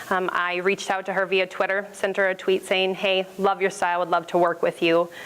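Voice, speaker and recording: A woman talks at a fairly quick pace in a medium pitch, her intonation monotone and flat, over noticeable background noise. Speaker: small business owner presenting. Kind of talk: business pitch presentation. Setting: stage with audience, microphone. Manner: loud.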